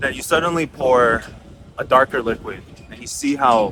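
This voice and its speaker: Noticeable background noise runs under the speech. The speaker is a man with an American accent. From United States. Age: 30s. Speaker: singer-songwriter and music tech entrepreneur. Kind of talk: casual talk to camera.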